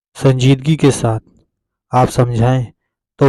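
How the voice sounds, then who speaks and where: On a very clean recording with a silent background and a dry, close sound with no echo, a man speaks at a medium pitch in a dark, mellow tone with monotone, flat intonation. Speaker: Islamic lecturer / religious content creator. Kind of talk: religious talk to camera.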